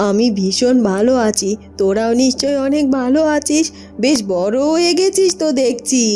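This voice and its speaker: A woman's cartoonish character voice, high-pitched with lively intonation, fairly slow, very even in loudness, over clear background music. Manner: brisk, practical.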